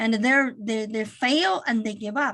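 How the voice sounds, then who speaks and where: A woman speaks with a Chinese accent and a fairly high pitch. The background is quiet. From China. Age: 50s. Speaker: accounting firm managing partner. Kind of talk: webinar talk.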